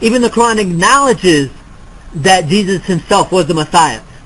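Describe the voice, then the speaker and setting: Someone speaks at a moderate pace with lively intonation over noticeable background noise. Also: man. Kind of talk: debate. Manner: halting.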